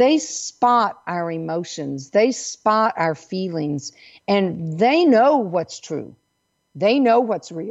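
Very wide pitch swings mark this woman's speech, delivered at a medium pitch and very slow pace with a Southern US accent. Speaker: intuitive coach and radio host. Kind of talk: radio talk show monologue.

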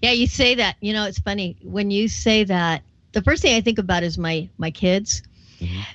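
At a moderate pace, a woman talks with an ordinary speaking voice and ordinary pitch variation. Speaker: radio host. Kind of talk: interview chat.

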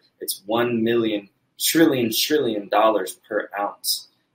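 Medium pitch from a man, an ordinary speaking voice, pitch varying in an ordinary way. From United States. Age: 30s. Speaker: entrepreneur and marketing company founder. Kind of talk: interview.

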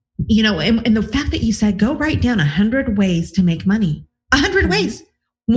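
A woman with an enthusiastic, upbeat tone, fairly high pitch, lively intonation and a somewhat breathy quality. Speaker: relationship coach and podcast host. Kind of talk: interview podcast.

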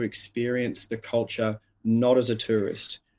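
A man speaks with an Australian accent. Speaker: leadership coach and author. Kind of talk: interview conversation.

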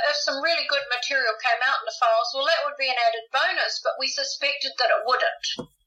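A raised, projected voice in a New Zealand accent, with ordinary pitch variation and noticeable background noise. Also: woman. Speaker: author and UFO researcher. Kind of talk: interview.

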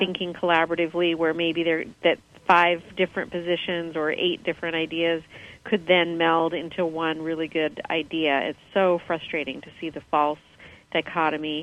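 Her intonation is monotone and flat, though her loudness swings widely. This woman speaks with an American accent at a moderate pace and a fairly low pitch. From US. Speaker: caller. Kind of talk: call-in show chat. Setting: phone or video call.

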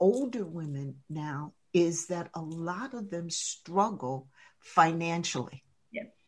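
Speaking very slowly, a woman with an American accent has a fairly low pitch. Her voice is somewhat breathy, with lively intonation. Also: very clean recording, silent background. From US East Coast, New Jersey. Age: 70s. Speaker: leadership coach and author. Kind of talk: radio interview.

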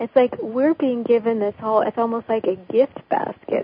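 Noticeable background noise sits behind a woman with a fairly high pitch. She keeps a moderate pace and fairly even intonation. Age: 50s. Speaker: astrologer. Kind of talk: casual interview.

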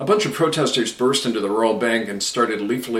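The text is read aloud in a natural voice.

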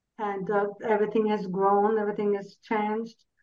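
A woman speaks at a medium pitch. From Belgium. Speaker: interview guest. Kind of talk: interview. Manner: halting.

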